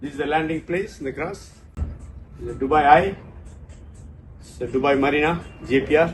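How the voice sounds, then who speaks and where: In a room with audible echo and music in the background, a man with a fairly high voice talks at a fairly quick pace with fairly even intonation, big swings in loudness, and long, frequent pauses. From South India (Tamil). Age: 60s. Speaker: travel vlogger. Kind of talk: casual vlog.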